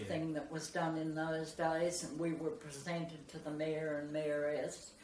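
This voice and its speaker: Monotone, flat intonation at a fairly slow pace, with noticeable background noise. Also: woman, very deep, low pitch for a woman. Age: 80s+. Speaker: former ballroom dance instructor. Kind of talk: interview answer.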